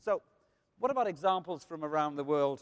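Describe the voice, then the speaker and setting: The sound is dry and close with no echo as a man speaks with a Welsh accent at a fairly high pitch. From Wales. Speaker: food marketing speaker. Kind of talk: conference talk.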